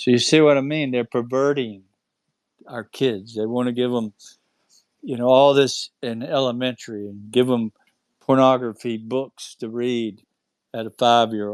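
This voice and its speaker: With a North Carolina accent, a man speaks at a moderate pace and medium pitch, keeping his intonation fairly even. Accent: Southern US (North Carolina). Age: 60s. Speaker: UFO experiencer. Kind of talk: casual chat. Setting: online audio space.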